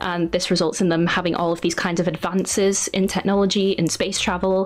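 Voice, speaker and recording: Music plays behind a woman of medium pitch. She talks at a moderate pace in a monotone, flat intonation. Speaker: artist and YouTuber. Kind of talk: interview conversation. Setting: podcast interview.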